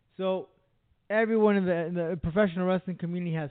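High-pitched male voice. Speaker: radio host. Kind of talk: casual chat.

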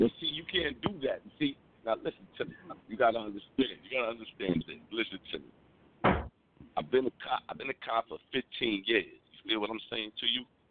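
Speaking at a moderate pace, a man uses lively intonation. His voice sits at a medium pitch. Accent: New York. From New York City, the Bronx. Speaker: police officer, caller. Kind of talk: casual chat.

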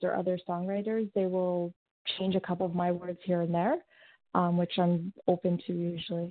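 A woman with an unremarkable speaking voice, medium in pitch, at a moderate pace in a Canadian accent. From Saskatchewan, Canada. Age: 20s. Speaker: singer-songwriter. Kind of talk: interview. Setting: phone call.

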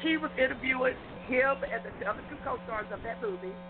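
Woman at a fairly high pitch, with noticeable background noise. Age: 50s. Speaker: radio show contributor. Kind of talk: radio panel discussion. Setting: outdoors camping, remote call-in.

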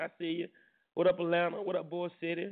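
A man speaks in an animated tone. His pitch sits fairly high. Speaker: radio host. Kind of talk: casual chat.

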